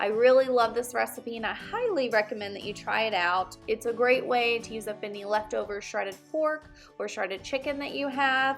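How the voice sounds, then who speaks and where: A woman with an American accent talks at a fairly high pitch with hardly any pauses. Music plays in the background. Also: ordinary pitch variation, moderate pace. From Texas. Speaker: home cook, culinary school graduate. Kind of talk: cooking tutorial talk to camera. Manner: casual, friendly.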